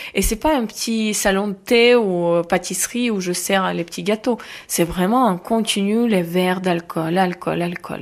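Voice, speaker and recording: A woman speaks in an Eastern European accent with ordinary pitch variation. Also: medium pitch for a woman, fairly slow pace. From Ukraine, Kharkiv. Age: 20s. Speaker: Ukrainian refugee. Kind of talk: interview testimony.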